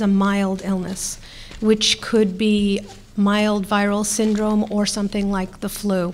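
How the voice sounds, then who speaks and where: A woman at a very slow pace. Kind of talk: press briefing statement. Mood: serious, measured. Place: hall. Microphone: podium.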